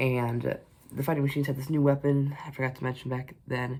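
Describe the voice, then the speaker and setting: Somewhat breathy and medium in pitch, a man talks at a fairly quick pace. His intonation is monotone and flat. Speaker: book reviewer. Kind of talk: casual book review to camera. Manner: hesitant, rambling.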